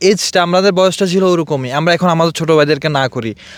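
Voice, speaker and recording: A man with a plain, everyday voice and ordinary pitch variation. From Bangladesh, Feni district. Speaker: motorbike enthusiast, expatriate worker. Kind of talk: interview. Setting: outdoors in desert hills.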